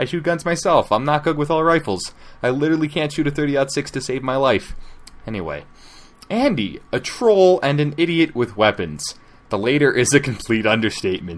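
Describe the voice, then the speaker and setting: Here is a man with a normal speaking voice and a fairly high pitch. He talks at a fairly quick pace with lively intonation. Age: 60s. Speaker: fanfiction narrator. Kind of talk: reading aloud with commentary.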